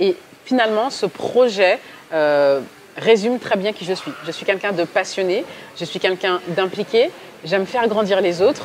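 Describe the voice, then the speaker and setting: A medium-pitched woman's voice with ordinary pitch variation, long and frequent pauses, and noticeable background noise. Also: moderate pace. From mainland France. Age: 30s. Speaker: communications agency director. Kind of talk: interview. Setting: on location at a digital event venue. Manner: hesitant, many fillers.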